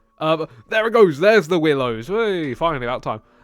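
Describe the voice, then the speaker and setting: A man with a British accent talks at a very fast pace. His fairly high voice moves in very wide pitch swings. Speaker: video game builder and commentator. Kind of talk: gameplay voiceover commentary. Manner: calm; halting, many fillers and restarts.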